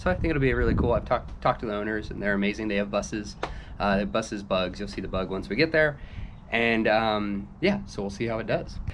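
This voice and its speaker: A man with a fairly low voice speaks with lively intonation over noticeable background noise. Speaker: car restoration vlogger. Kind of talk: casual vlog chat. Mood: upbeat, slightly nervous. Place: street. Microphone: phone near.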